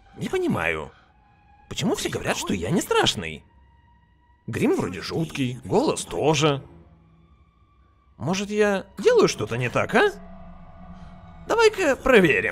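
Using a whiny, put-on character voice, a man talks at a moderate pace with long, frequent pauses. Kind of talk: comic overacting. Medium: fan dub. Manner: whiny, puzzled.

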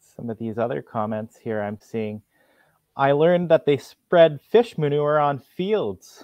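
In a Canadian accent, a man talks in an enthusiastic tone at a fairly slow pace, his fairly high voice making very wide pitch swings and big swings in loudness, recorded with a dry sound, no echo and a quiet background. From Ontario, Canada. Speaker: executive director of a provincial agriculture education group, co-host; livestream co-host. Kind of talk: live educational broadcast for school classes. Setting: video call. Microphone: video call.

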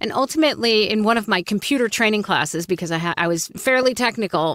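In a quiet background, a woman with an East Coast American accent is heard in a dry sound with no echo. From US East Coast. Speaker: voice actor and coach. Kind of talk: interview conversation. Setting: video call. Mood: warm, upbeat storytelling. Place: booth. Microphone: studio mic.

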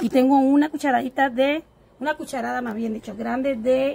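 Speaking at a moderate pace, a woman has a high pitch and fairly even intonation. Light background noise can be heard. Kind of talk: cooking tutorial. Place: garden.

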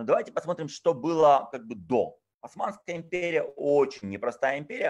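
A man talks with a fairly high pitch and a lively, up-and-down intonation. There's vocal fry in his voice, and the background is quiet. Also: moderate pace. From Odessa, Ukraine. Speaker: tour guide and lecturer. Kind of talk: online lecture. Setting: video call. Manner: informal, chatty. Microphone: video call.

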